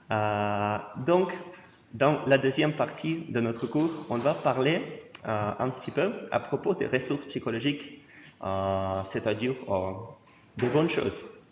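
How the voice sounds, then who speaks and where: Over noticeable background noise and audible room echo, a man with a slight Russian accent speaks at a very slow pace, using long, frequent pauses and lively intonation. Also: medium pitch for a man. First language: Russian (speaking French). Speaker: university lecturer. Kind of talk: lecture. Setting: lecture hall with students. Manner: halting, frequent hesitations.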